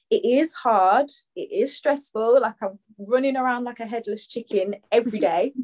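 Recorded dry and close with no echo, the speaker uses a Birmingham accent, lively intonation and a moderate pace. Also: woman, high pitch for a woman. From Birmingham, England. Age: 20s. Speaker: fashion stylist and upcycling brand owner. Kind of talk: podcast interview.

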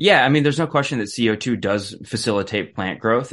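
A man with a normal speaking voice, fairly quick pace and lively intonation against a quiet background. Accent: American. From Wisconsin, US Midwest. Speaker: energy policy researcher. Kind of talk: radio interview.

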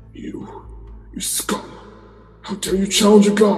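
A put-on character voice growls at a fairly high pitch. The pace is fairly slow, with a slight echo. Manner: snarling, scornful.

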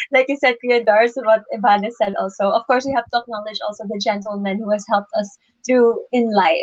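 A woman's plain, everyday voice, fairly high in pitch, with fairly even intonation at a fairly quick pace. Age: 20s. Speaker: beauty pageant contestant. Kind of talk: interview answers. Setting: Facebook Live stream.

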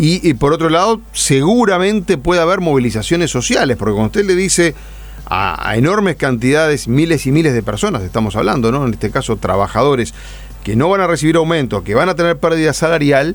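Over noticeable background noise, a man talks at a fairly quick pace with very wide pitch swings and very even loudness. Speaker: radio co-host. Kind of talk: radio interview.

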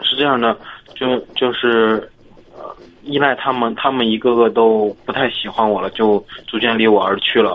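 The man's intonation is monotone and flat. He holds a medium pitch at a moderate pace. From Hebei, Zhangjiakou. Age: 20s. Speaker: caller, college student. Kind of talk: casual chat. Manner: halting.

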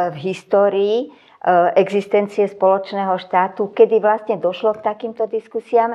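A woman is talking. Her voice sits fairly high in pitch. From Czechoslovakia (Slovakia). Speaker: sociologist. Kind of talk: interview. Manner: hesitant with fillers.

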